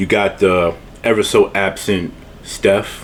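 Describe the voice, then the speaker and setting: Noticeable background noise sits behind this recording. A man speaks at a fairly low pitch. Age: 30s. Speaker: food YouTuber doing mukbang. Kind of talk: casual vlog outro. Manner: rambling, repetitive stammering.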